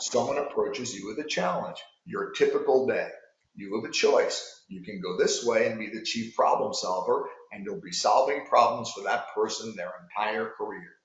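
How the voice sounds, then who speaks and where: With a New York accent, a man speaks at a moderate pace, his loudness swinging widely amid audible room echo. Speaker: sales coach. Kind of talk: coaching talk to sales managers.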